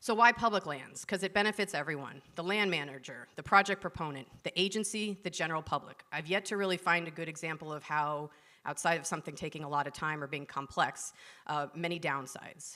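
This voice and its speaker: A woman's fairly low voice has a bright, sharp tone, ordinary pitch variation and a fairly quick pace. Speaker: environmental consultant. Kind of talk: conference talk. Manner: fast.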